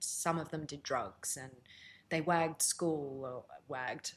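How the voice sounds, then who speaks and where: A woman speaks in a very deep, low voice. Her pace is moderate. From South Africa, then Melbourne from age 13. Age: 40s. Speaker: former reality TV contestant and radio presenter. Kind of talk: interview podcast, personal story.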